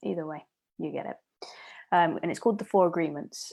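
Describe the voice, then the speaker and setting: On a very clean recording with a silent background, a woman speaks in a fairly low pitch with ordinary pitch variation. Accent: Leicester. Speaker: podcast host. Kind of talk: solo podcast monologue. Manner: casual, with filler words.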